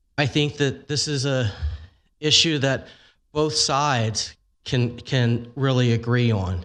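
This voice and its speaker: On a very clean recording with a silent background, a man at a medium pitch speaks very slowly with long, frequent pauses and ordinary pitch variation. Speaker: animal welfare advocate. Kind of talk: public testimony. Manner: loud.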